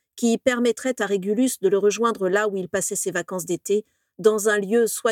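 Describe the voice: Plain reading aloud with a quiet background.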